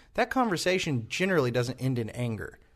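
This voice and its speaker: Against a quiet background, a man talks in an ordinary speaking voice. His pitch is fairly high, and his intonation is lively. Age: 20s. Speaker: church podcast host. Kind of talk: casual chat; sermon.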